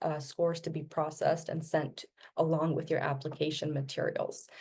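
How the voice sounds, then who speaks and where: A woman with a non-native accent talks at a moderate pace in a dark, mellow tone. The background is quiet. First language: not English. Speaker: graduate school panelist. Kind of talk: webinar presentation.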